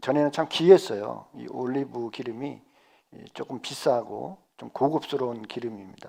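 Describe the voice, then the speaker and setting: Very slow in pace, a man speaks with a dark, mellow tone. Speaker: pastor. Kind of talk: sermon. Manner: halting, with self-corrections.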